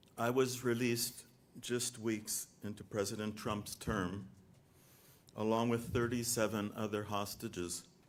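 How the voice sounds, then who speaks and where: A man with an American accent talks at a fairly slow pace. His intonation is monotone and flat, with audible room echo. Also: medium pitch for a man. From US South, North Carolina. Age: 60s. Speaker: released hostage. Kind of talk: prepared statement. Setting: stage at press event.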